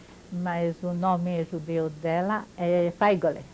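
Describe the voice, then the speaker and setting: A woman's fairly low voice in a French accent. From France (Paris), born in Poland. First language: French (speaking Portuguese). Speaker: Holocaust-era witness, interviewee. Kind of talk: oral history interview. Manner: halting, with hesitations.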